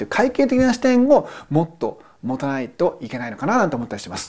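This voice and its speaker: A man's high, dark, mellow voice at a very fast pace, with very wide pitch swings. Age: 40s. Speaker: accountant podcast host. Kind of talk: solo commentary podcast.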